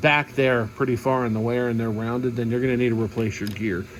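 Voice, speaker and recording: Noticeable background noise runs under the recording. A man speaks at medium pitch. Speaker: mechanic. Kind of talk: tutorial.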